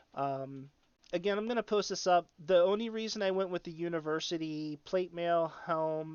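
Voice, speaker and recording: A man talks in a normal speaking voice. His pitch is fairly high, with ordinary pitch variation. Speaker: gaming streamer. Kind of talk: tutorial.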